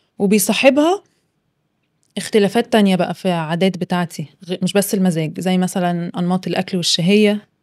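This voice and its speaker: A woman speaks with an Egyptian accent. Her pitch variation is ordinary. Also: medium pitch for a woman, moderate pace. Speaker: psychologist podcast co-host. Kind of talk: casual chat.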